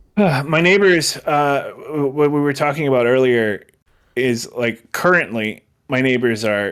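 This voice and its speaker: A man does a put-on character voice that sounds strained and fairly high. He goes at a fairly slow pace with ordinary pitch variation. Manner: strained, sounding pained.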